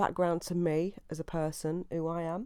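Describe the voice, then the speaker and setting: A woman with an East Midlands accent has a fairly low-pitched voice with a dark, mellow tone. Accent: English Midlands (Leicester). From England, Leicester. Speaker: podcast host. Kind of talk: casual monologue. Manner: hesitant, many fillers.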